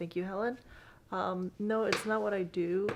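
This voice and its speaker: This woman speaks with a slight Bulgarian accent. Her intonation stays fairly even. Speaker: vlogger. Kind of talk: casual Q&A vlog.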